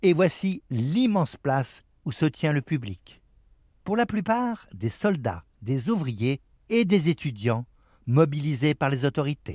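On a very clean, silent-background recording that sounds dry and close with no echo, a man speaks very slowly at a fairly high pitch, somewhat breathy, with very wide pitch swings. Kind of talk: documentary narration over archival footage. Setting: voiceover. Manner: measured, formal, steady newsreel-style delivery.

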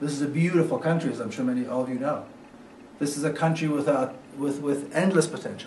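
Audible room echo and light background noise surround a man talking at a very fast pace. His pitch is fairly high, his intonation fairly even. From Jerusalem, Israel; Israel. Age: 50s. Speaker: author. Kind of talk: lecture. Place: hall. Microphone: camera far.

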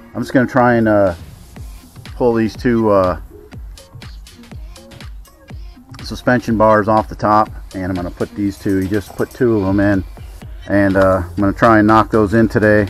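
At a moderate pace with long, frequent pauses, a man speaks in a fairly low pitch with fairly even intonation, the sound dry with no echo and faint music in the background. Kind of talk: tutorial. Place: street. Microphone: phone near.

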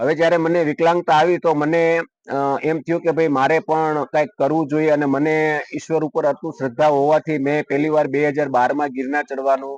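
The man's voice sits fairly high, with monotone, flat intonation. The sound is dry and close, with no echo. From Gujarat, India (Amreli district). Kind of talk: news interview testimony.

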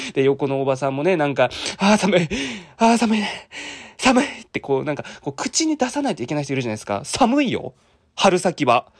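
A fairly quick pace against a quiet background. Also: man. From Japan, Fukuoka; Japan. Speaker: vlogger. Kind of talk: vlog narration; casual vlog chat. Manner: casual, rambling. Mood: grumbling, dry humor. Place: cafe. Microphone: phone near.

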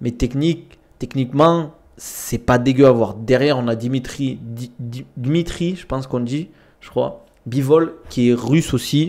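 A man's fairly slow speech, with ordinary pitch variation, comes over a quiet background. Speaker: streamer, combat sports commentator. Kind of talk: casual live-stream commentary. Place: home room. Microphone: studio mic.

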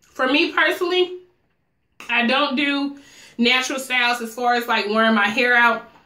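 A woman with a high pitch and ordinary pitch variation speaks at a moderate pace, with audible room echo. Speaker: hair stylist and vlogger; vlogger. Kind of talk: tutorial. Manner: casual, chatty. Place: home room.

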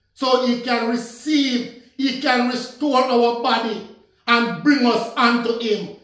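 A man with an extremely high pitch speaks at a very slow pace in a flat monotone, with audible room echo over a quiet background. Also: very even loudness. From Jamaica. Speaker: minister. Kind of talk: sermon. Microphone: phone near.

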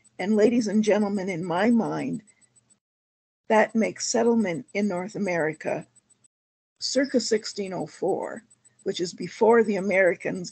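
Against a quiet background, a woman speaks with vocal fry and ordinary pitch variation. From Ontario, Canada (Essex County). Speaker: historian and heritage consultant. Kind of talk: lecture. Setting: video call. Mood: earnest, proud of heritage. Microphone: video call.

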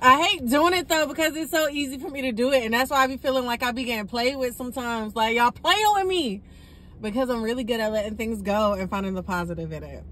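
A woman's high, bright, sharp voice with lively intonation at a very fast pace. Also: dry sound with no echo. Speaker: delivery driver vlogger. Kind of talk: casual vlog chat. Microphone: phone near.

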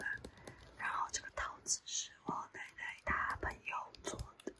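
The voice is whispering in a relaxed tone. The pace is very slow. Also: woman. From Taiwan. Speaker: ASMR content creator. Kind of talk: casual talk to camera. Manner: soft-spoken, relaxed. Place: home room. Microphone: phone near.

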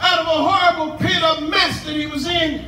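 Projecting a raised voice at an extremely high pitch, a man speaks at a moderate pace in a room with audible echo and light background noise. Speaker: pastor preaching at a tent revival. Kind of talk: sermon, live preaching to a congregation. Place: tent.

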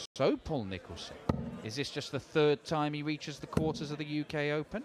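Over noticeable background noise, a man with a fairly high pitch talks at a fairly quick pace in an animated, excited tone. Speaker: darts commentator. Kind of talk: live sports commentary. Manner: animated, fast, excited play-by-play.

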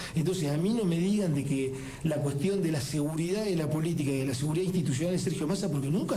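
A man with lively intonation at a very fast pace, over light background noise. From Buenos Aires province, Argentina. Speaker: elected provincial legislator; politician guest. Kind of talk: radio interview. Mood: critical, argumentative. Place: studio. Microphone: studio mic.

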